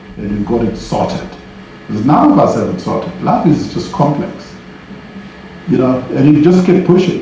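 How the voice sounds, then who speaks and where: A man talks at a moderate pace and fairly high pitch with very wide pitch swings. Audible room echo and noticeable background noise fill the recording. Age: 60s. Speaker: business leader and mentor. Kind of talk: Q&A answer at a panel event.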